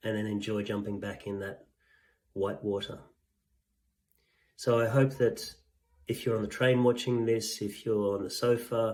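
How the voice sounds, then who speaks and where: At a moderate pace, a man with a medium-pitched voice talks in a monotone, flat intonation broken by long, frequent pauses. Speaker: executive coach. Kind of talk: vlog monologue. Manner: halting.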